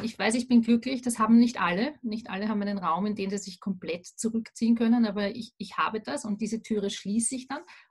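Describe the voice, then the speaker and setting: A woman talks at a fairly quick pace with a fairly high pitch. Her voice is somewhat breathy, and its pitch varies in an ordinary way. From Austria, Vienna. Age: 40s. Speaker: remote work consultant. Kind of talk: interview.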